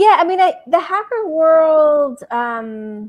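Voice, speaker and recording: Lively intonation from a female speaker. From Puerto Rico. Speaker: anthropologist and author; guest. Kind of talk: podcast interview. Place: home room. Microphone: video call.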